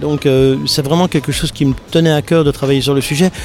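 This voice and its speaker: Music in the background behind a man's fairly high voice and fairly quick pace. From Belgium, Liège area. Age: 50s. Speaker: comic book author. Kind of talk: interview. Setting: festival.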